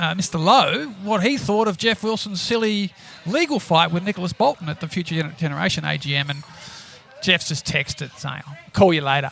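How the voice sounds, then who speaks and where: A high-pitched man with an Australian accent, lively intonation and a fairly quick pace, over noticeable background noise. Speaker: podcast co-host, shareholder activist. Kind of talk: casual chat.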